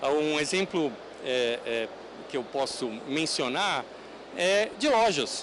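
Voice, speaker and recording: Noticeable noise sits in the background while a man talks with lively intonation. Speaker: conference speaker on technology. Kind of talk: conference talk. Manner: halting, many fillers.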